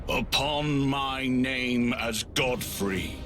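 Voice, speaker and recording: Over loud background noise, a man uses a put-on character voice at a medium pitch. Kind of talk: archaic epic speech. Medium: video game. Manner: grave, commanding.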